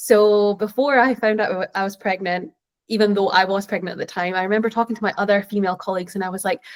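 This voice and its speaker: Speaking at a very fast pace with a Scottish accent, this woman keeps a medium pitch and fairly even intonation. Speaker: tech professional, panelist. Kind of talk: panel discussion answer.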